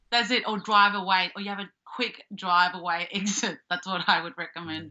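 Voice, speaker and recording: A woman with an Australian accent, medium pitch, fairly even intonation and big swings in loudness. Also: moderate pace. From Australia, Melbourne (Springvale). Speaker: comedian and actor. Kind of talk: casual chat.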